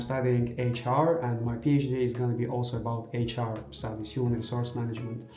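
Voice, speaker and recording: A man with a medium pitch talks at a fairly quick pace in an Azerbaijani accent. Music plays in the background, and the room echo is audible. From Azerbaijan, Baku. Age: 20s. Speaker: vlogger and graduate student. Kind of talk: casual vlog talk. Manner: halting, with fillers.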